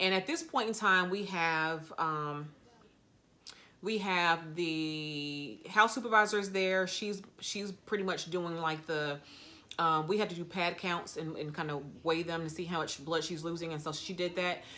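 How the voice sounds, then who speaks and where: Bright, sharp tone with ordinary pitch variation and audible room echo. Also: woman, fairly low pitch for a woman. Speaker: postpartum nurse. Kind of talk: story time. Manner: fast, excited.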